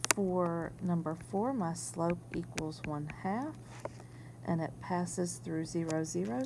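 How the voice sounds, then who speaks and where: Amid audible room echo, a woman speaks fairly slowly at a fairly low pitch. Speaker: math teacher. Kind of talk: recorded video lesson. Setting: whiteboard screencast.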